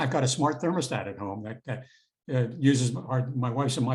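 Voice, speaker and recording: A somewhat breathy man with an American accent, medium in pitch, at a fairly quick pace. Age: 70s. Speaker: retired federal prosecutor and law professor. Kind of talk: interview.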